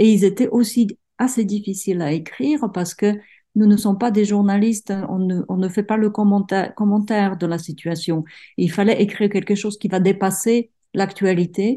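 A woman with a Czech accent talks at a moderate pace and a medium pitch, with fairly even intonation. Her tone is dark and mellow, and somewhat breathy. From Czech Republic, provincial town. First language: Czech (speaking French). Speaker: writer. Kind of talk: interview. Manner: halting, many repetitions.

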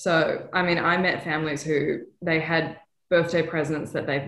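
This woman's pitch is very deep and low. Her intonation is monotone and flat. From Western Australia, Perth. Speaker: TV news correspondent. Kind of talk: interview. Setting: video call.

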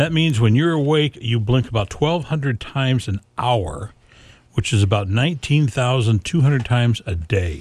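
A somewhat breathy man at medium pitch and a moderate pace, with lively intonation and very even loudness over a quiet background. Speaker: radio host. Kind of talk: live radio chat. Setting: radio studio. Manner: casual, friendly.

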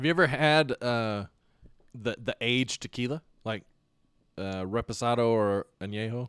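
This man has a medium pitch and a moderate pace, with long, frequent pauses. The sound is dry and close with no echo. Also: ordinary pitch variation. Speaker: podcast host. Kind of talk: casual chat. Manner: animated.

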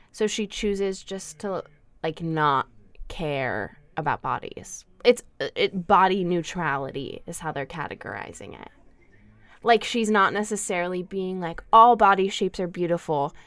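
A woman talks at a fairly slow pace in a plain, everyday voice. Her pitch sits at a medium level with ordinary variation, while her loudness swings widely. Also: very clean recording, silent background. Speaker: student radio co-host. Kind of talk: casual chat. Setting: studio.

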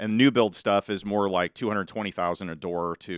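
A man with a Midwestern US accent, very deep and low in pitch with ordinary variation, at a very fast pace, in a dry, close sound with no echo, on a very clean recording with a silent background. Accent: US Midwest. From Southwest Iowa (Malvern). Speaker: real estate investor and podcaster. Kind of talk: casual interview. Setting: studio.

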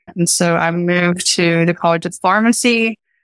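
A woman with an American accent talks at a moderate pace at medium pitch. The sound is dry and close with no echo, on a very clean recording with a silent background. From Eastern Kentucky, Appalachia. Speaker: professor and microbiology researcher. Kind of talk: interview conversation.

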